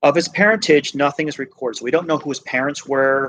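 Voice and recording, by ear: A man with a fairly bright tone and fairly even intonation.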